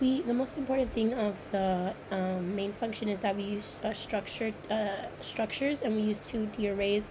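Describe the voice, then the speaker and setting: A woman talks at a moderate pace in a fairly high pitch, her intonation fairly even, while noticeable background noise sits behind her. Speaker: computer science student. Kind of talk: screen-recorded code walkthrough. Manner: hesitant, many fillers.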